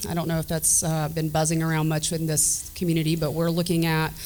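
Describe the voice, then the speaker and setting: The woman's pitch sits fairly low. Noticeable background noise runs behind her. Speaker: state government director. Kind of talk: panel remarks. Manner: many fillers (um, uh).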